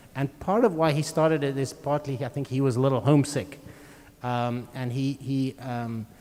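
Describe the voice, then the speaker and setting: A man with a South African accent speaks at a moderate pace in a fairly high pitch, his tone dark and mellow and his pitch variation ordinary. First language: Afrikaans. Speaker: string quartet musician. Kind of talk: live interview at a concert.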